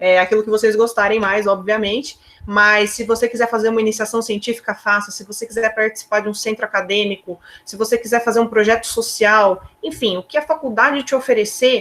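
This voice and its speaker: This is an ordinary speaking voice with fairly even intonation, moving at a fairly quick pace. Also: woman, fairly high pitch for a woman. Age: 20s. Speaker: chemical engineer. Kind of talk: career talk to students on video call.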